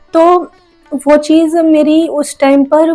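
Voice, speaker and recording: With music in the background, a woman is heard. Her intonation stays monotone and flat. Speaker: manifestation coach and YouTuber. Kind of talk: casual vlog talk to viewers.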